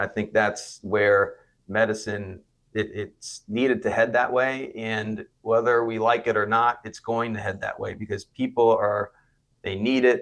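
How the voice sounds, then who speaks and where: Against a quiet background, a man with an American accent speaks at medium pitch and a fairly slow pace, keeping his intonation fairly even. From South Florida. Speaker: physician and clinic founder. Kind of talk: interview. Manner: hesitant, with filler words.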